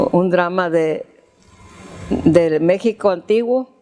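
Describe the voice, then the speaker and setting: A woman speaks with fairly low pitch. Her pitch varies in an ordinary way. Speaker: grandmother recounting her life story. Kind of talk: interview answer recalling childhood memories. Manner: hesitant, conversational, with repeated words.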